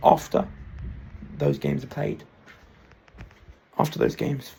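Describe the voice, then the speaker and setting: Amid noticeable background noise, a man speaks fairly quickly. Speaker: football predictions YouTuber. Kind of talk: solo vlog monologue. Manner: fast; halting, self-correcting.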